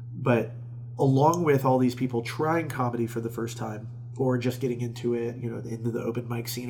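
A man with an American accent speaks at a medium pitch. Noticeable background noise can be heard. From Florida, Tampa area. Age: 30s. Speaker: stand-up comedian and festival organizer. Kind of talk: casual interview chat.

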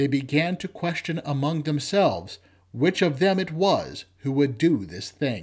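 Lively intonation at a fairly slow pace, somewhat breathy, on a very clean recording with a silent background. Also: man, fairly high pitch for a man. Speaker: lector leading vespers. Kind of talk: liturgical scripture reading at vespers. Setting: church. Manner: formal, measured, reverent.

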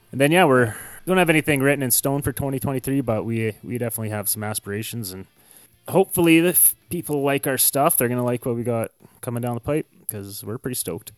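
A man with a Canadian accent at a very fast pace, ordinary pitch variation, and a dry, close sound with no echo, with music in the background. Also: medium pitch for a man. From Canada. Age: 30s. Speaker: punk musician. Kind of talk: casual interview.

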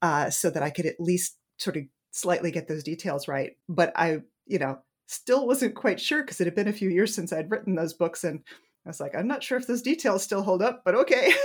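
A woman with an American accent speaks at a fairly quick pace in a medium pitch. It is a normal speaking voice with lively intonation. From New England, US. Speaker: romance author. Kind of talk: casual interview chat.

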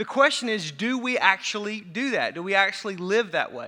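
With an American accent, a man uses a raised, projected voice that is high-pitched and bright and sharp in tone, with ordinary pitch variation. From US Midwest, Racine County, southern Wisconsin. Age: 40s. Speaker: pastor. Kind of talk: sermon. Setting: church. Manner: fast talker; animated.

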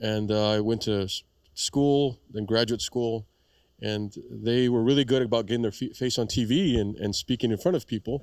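Recorded very cleanly against a silent background, a man talks in an ordinary speaking voice at a moderate pace, with a medium pitch and ordinary pitch variation. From South Texas.

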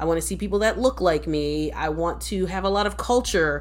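A woman at a very fast pace with an American accent. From Philadelphia, US East Coast. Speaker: podcast co-host, social worker and educator. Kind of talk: casual podcast chat, personal storytelling. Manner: fast talker.

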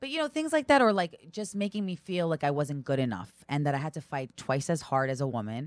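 Her very deep, low voice swings very widely in pitch as this woman talks fairly quickly with hardly any pauses, the sound dry and close with no echo. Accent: New York. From New York (Brooklyn, Long Island). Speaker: stand-up comedian and reality TV personality. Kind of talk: casual chat.

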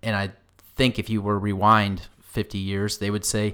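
A man speaks in a plain, everyday voice at a moderate pace and a fairly low pitch. The recording is very clean, with a silent background. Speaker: podcast co-host. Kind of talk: casual conversational podcast chat.

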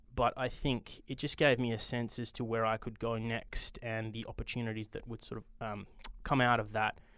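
On a very clean recording with a silent background, a man with an Australian accent speaks at a moderate pace and medium pitch in a flat, monotone way. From Australia, Perth. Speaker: venture capital investor. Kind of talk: interview.

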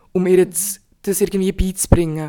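The speaker is a woman with a dark, mellow tone. Her pitch falls in the medium range. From Bern, Switzerland. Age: 20s. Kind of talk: casual chat.

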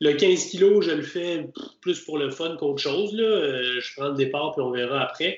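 A man with a Quebec accent speaks fairly slowly at a fairly high pitch, with ordinary pitch variation and noticeable background noise. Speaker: obstacle racing podcast host. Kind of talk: casual chat.

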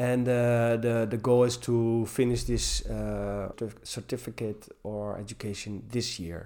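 Speaking at a fairly slow pace, a man holds a medium pitch with a dark, mellow tone and monotone, flat intonation. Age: 40s. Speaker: gym teacher. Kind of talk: interview. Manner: halting. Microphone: poor sound quality in places.

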